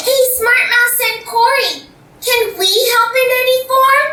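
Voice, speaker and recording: An extremely high-pitched, cartoonish character voice is heard. It moves at a fairly slow pace. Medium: puppet show. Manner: nervous.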